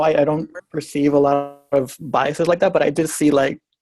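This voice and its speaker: Over music in the background, the speaker talks at a fairly quick pace. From Puerto Rico. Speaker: graduate student. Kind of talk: workshop discussion.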